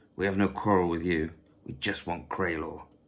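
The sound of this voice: A growling, gruff voice with fairly even intonation at a moderate pace. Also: man, very deep, low pitch for a man.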